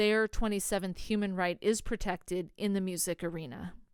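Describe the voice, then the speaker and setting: On a very clean recording with a silent background, a woman with an American accent speaks at a medium pitch with fairly even intonation. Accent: sometimes sounds like a Valley girl. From US Pacific Northwest, Oregon. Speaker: podcast host. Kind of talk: podcast monologue.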